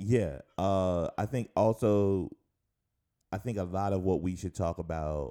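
A man's voice shows ordinary pitch variation in a very clean recording with a silent background. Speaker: podcast co-host. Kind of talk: casual chat. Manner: casual, slangy, upbeat.

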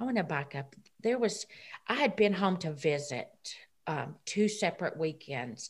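A woman speaks at a medium pitch with very wide pitch swings and a Southern US accent. Her voice is somewhat breathy, and the recording is very clean with a silent background. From Tennessee. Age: 50s. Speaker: recovered addict and church volunteer. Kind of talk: testimony. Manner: halting.

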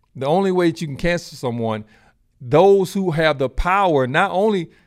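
A man with an American accent at a fairly quick pace, lively intonation, in a very clean recording against a silent background. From United States. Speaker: podcast host. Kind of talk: solo commentary. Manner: halting.

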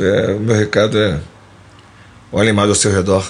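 A man speaks at a fairly low pitch. Noticeable background noise and audible room echo surround him. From Rio de Janeiro, Mangueira. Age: 50s. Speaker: musician and composer. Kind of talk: casual interview.

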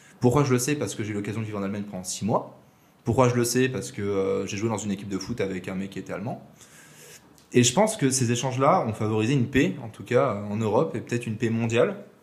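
This man talks very fast. His voice is somewhat breathy. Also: medium pitch for a man, ordinary pitch variation. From southern France, Aix-en-Provence. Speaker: podcast guest, former coding bootcamp classmate. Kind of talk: casual interview conversation.

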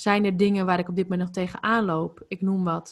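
There's an ordinary speaking voice from a woman, medium in pitch and moderate in pace. Her intonation is fairly even, and the recording is very clean with a silent background. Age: 20s. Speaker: holistic life coach. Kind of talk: podcast interview.

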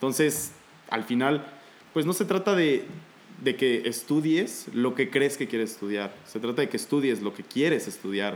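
This man has a plain, everyday voice at a medium pitch. He talks fairly slowly with lively intonation. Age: 20s. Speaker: aspiring airline pilot and paramedic. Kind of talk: casual chat.

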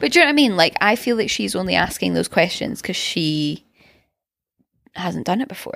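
In a Scottish accent, a woman talks at a fairly quick pace broken by long, frequent pauses, on a very clean recording with a silent background. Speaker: podcast co-host. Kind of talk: casual chat. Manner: energetic.

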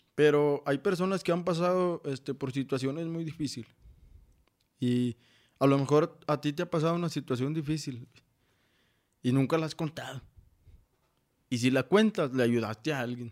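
Pausing long and often, a man with a fairly high pitch speaks at a moderate pace with ordinary pitch variation. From Mexico, Saltillo, Coahuila. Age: 20s. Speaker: motivational speaker. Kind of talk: podcast interview, personal testimony. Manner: halting, many fillers.

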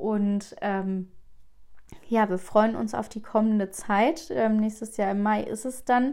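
Fairly slowly and with fairly even intonation, a woman speaks at a fairly high pitch. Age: 20s. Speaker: podcast host and family counselor. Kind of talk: personal monologue. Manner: hesitant, many filler sounds.

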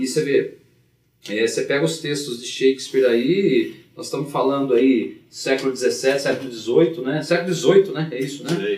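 Here is an unremarkable speaking voice from a man. He is pitched fairly high and talks at a moderate pace. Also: ordinary pitch variation. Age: 40s. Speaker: teacher and blues harmonica player. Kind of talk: casual chat.

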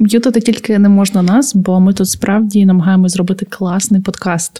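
A somewhat breathy woman with a dark, mellow tone speaks at a moderate pace, her medium pitch showing ordinary variation. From Ukraine, Podillia (Khmelnytskyi area). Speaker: podcast co-host. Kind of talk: casual chat.

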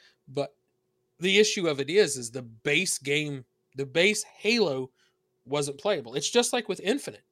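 In a very clean recording with a silent background, a man with a Southern US accent speaks at a moderate pace, his bright, sharp tone animated and his intonation lively. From US South. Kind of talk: casual banter. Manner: joking, animated.

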